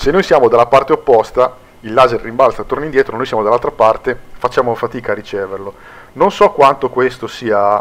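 Medium in pitch with ordinary pitch variation, a man talks at a fairly quick pace. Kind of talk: gameplay tutorial commentary. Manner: casual, many hesitations.

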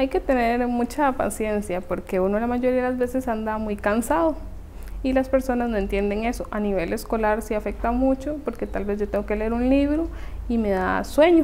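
A woman with a high pitch and ordinary pitch variation speaks in a dark, mellow tone over light background noise. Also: moderate pace. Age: 20s. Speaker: dentistry student with thyroid condition. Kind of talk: interview testimony. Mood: calm, reflective. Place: home room.

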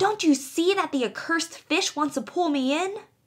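A woman's put-on character voice, extremely high-pitched, shrill and growling, at a moderate pace. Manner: rude, snarling, quarrelsome.

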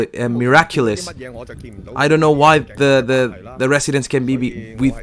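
Fairly high-pitched male voice at a moderate pace, ordinary pitch variation, music in the background. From Chile. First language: Spanish. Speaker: livestream commentator and interpreter. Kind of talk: live stream commentary with chat Q&A. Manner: halting, repeats words.

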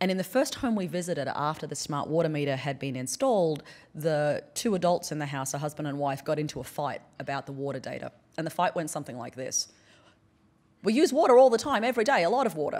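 A woman with an American accent speaks very fast at a very deep, low pitch. Her pitch swings very widely. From Australia (central and northern). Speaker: anthropologist and professor; professor. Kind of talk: conference keynote. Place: hall. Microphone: podium.

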